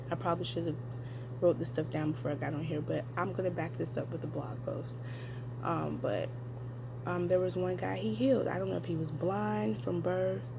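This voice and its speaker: A woman's whisper at a middling tempo, noticeable noise in the background. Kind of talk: casual talk to camera. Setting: at work. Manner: whispered.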